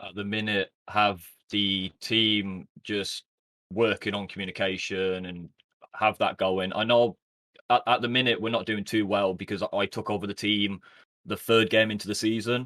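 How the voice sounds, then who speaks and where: The speech is monotone and flat, with a British accent. The pace is moderate. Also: man, fairly low pitch for a man, dry, close sound with no echo, very clean recording, silent background. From West Midlands, England. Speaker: esports team owner and player. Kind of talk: interview.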